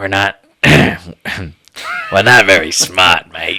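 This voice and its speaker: A man puts on a raspy character voice at a fairly low pitch. He speaks at a very slow pace. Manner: menacing, dim henchman style.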